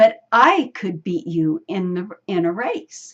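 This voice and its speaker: A woman uses a put-on character voice at medium pitch. Her pace is fairly slow. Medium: read story. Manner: calm.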